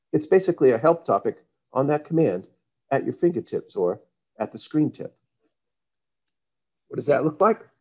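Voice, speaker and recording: A man with vocal fry speaks at a moderate pace in a fairly high voice with very wide pitch swings, big swings in loudness, and long, frequent pauses. The sound is dry and close with no echo. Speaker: software presenter. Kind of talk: software demo presentation.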